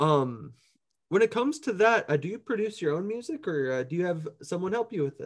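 Speaking at a fairly quick pace in an American accent, a man uses a high pitch with very wide pitch swings. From Minneapolis, US Midwest. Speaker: podcast host and musician. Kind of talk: casual interview. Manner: laughs often.

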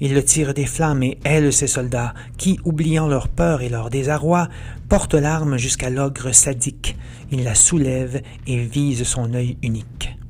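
Over noticeable background noise, a man speaks in a theatrical tone at a fairly slow pace with fairly even intonation. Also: medium pitch for a man. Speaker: author and podcast narrator. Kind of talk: dramatic verse narration, retelling the Odyssey as a gripping epic tale; scripted narration with a promo intro and outro. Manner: theatrical, vivid and suspenseful, with rising menace at the Cyclops scenes.

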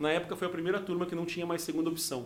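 The speaker is a man with a high-pitched voice. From Rio Grande do Sul, raised in Mato Grosso do Sul. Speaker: criminal lawyer and former comedian. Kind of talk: casual chat.

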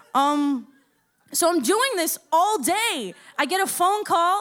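A woman's extremely high-pitched, animated voice in an American accent, with lively intonation. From Florida. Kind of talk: casual chat.

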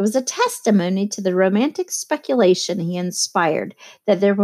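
Plain reading aloud is heard over a quiet background.

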